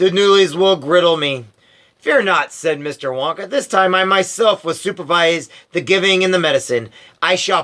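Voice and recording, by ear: The speaker reads aloud in a natural voice. Pitch varies in an ordinary way.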